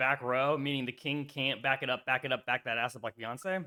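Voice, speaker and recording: A man speaks at a moderate pace with a bright, sharp tone and an animated delivery. The sound is dry and close, with no echo. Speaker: chess streamer. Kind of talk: casual chat. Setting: live stream.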